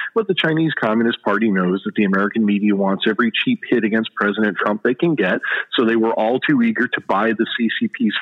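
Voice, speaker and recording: A man talks at a fairly quick pace and medium pitch with ordinary pitch variation, in a normal speaking voice. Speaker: author and political commentator. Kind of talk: interview discussing politics.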